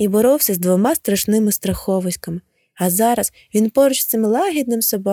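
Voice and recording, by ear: A quiet background behind someone reading aloud in a natural voice.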